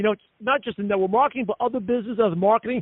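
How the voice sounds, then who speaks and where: The voice is loud, with ordinary pitch variation. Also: man. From US Northeast. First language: not English. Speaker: network marketing leader and podcast host. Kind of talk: conference call interview. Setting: conference call. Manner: fast.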